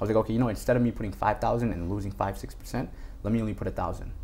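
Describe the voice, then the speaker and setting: This man talks at a very fast pace with a fairly low pitch. There is vocal fry, and his pitch varies in an ordinary way. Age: 20s. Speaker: stock trader. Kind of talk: casual interview.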